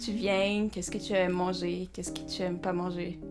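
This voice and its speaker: A woman with a non-native accent, music playing in the background. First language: Portuguese (speaking French). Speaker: animation artist and channel host. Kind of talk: casual interview chat. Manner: halting, hesitant.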